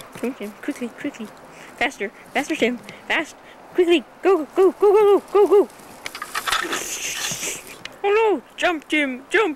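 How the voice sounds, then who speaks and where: A put-on character voice swings very widely in pitch. It leaves long, frequent pauses. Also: woman, extremely high pitch for a woman, moderate pace. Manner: frantic, urgent.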